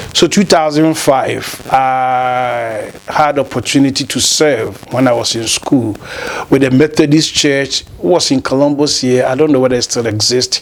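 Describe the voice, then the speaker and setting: A man's medium-pitched voice, fairly slow with fairly even intonation, over noticeable background noise. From Ghana, Kumasi. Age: 50s. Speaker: lawyer and former pastor. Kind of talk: interview, life story.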